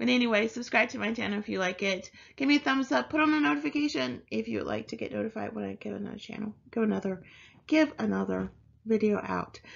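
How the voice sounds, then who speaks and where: A woman talks at a very fast pace against a quiet background. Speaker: online reseller, video creator. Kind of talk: casual vlog chat. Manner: halting. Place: home room. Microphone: webcam.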